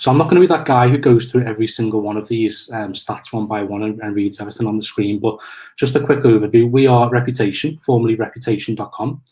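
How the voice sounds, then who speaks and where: A man with a medium pitch talks at a very fast pace, somewhat breathy, with ordinary pitch variation. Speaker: marketing manager, webinar presenter. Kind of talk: webinar presentation. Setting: online webinar. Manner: halting, many fillers.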